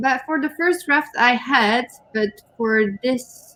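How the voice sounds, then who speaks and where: A woman's high-pitched, lively voice at a very slow pace, over noticeable background noise. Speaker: co-host, writer. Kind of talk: casual livestream chat. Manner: hesitant, with fillers.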